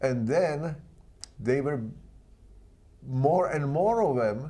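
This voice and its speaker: A dark, mellow voice with a Czech accent. The room echo is easy to hear. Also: man. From Czechoslovakia. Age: 80s+. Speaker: artist, sculptor and author. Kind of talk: interview. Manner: halting.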